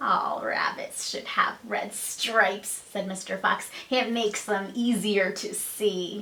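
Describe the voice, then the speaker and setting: Putting on a character voice, a woman sounds raspy at a medium pitch and speaks at a fairly slow pace. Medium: read story. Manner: gruff, dismissive.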